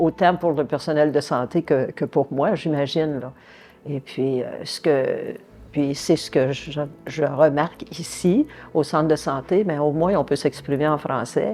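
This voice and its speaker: A woman's very deep, low voice with a dark, mellow tone, ordinary pitch variation and a fairly slow pace. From French Canada. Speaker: patient with chronic condition. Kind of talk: testimony. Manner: hesitant, many fillers.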